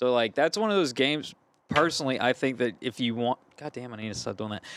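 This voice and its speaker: On a very clean recording with a silent background, a man with a slight Cajun accent speaks at a very fast pace with lively intonation. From Louisiana, Gonzales. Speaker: band vocalist. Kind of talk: casual chat.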